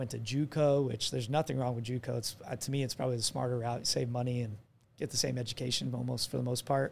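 Talking at a very fast pace, a man with an American accent sounds somewhat breathy and keeps a flat, monotone intonation. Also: medium pitch for a man. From Arizona. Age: 20s. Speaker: athletic trainer. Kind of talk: casual chat.

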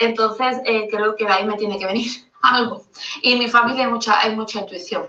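A woman has a plain, everyday voice at a fairly high pitch. She speaks at a fairly quick pace with fairly even intonation. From Andalusia, Spain (Seville). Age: 30s. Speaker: caller sending a voice note. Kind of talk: recorded voice message. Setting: recorded voice note.

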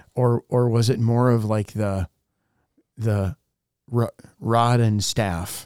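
On a very clean recording with a silent background, a man at medium pitch speaks very slowly with very even loudness and long, frequent pauses. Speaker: pastor, podcast co-host. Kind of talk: interview.

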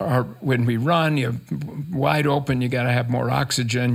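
A man with an American accent speaks at a moderate pace and medium pitch. His voice is somewhat breathy, with ordinary pitch variation. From rural Minnesota. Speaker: crop scientist. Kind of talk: interview.

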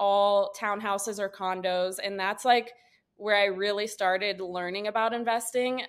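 Moderate pace and fairly even intonation from a woman at medium pitch with a Midwestern American accent. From Northeast Ohio, Wooster. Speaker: real estate agent. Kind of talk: interview.

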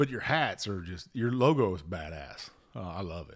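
A fairly low-pitched man with a Southern US accent and lively intonation, on a very clean recording with a silent background. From US South. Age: 50s. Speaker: whiskey podcast host and Coast Guard veteran. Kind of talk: casual chat.

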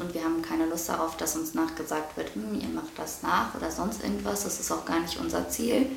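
Over noticeable background noise, a woman's voice carries audible room echo. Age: 20s. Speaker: podcast co-host. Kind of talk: casual chat. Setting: holiday apartment. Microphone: poor audio quality, noisy microphone.

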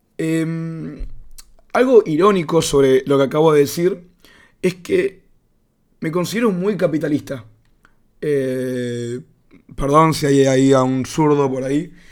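A man with a Rioplatense accent speaks at a fairly slow pace. His voice is fairly high, with ordinary pitch variation. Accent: Argentine Rioplatense Spanish. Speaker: podcaster. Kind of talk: casual monologue. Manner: mumbling.

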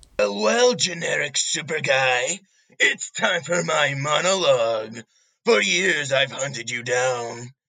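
A put-on character voice moves along at a fairly slow pace. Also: man, fairly high pitch for a man. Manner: menacing, shouting, broken grammar.

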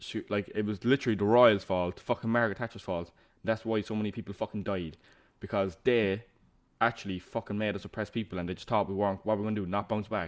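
A man with a Cork accent at a very fast pace, fairly low in pitch and fairly even in intonation, against a quiet background. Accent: Cork Irish. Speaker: podcast co-host. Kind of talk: casual chat.

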